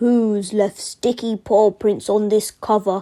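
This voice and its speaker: A woman puts on a character voice that is gruff and rumbling, at a medium pitch. She speaks at a fairly slow pace with monotone, flat intonation. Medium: read story. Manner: gruff, grumbling.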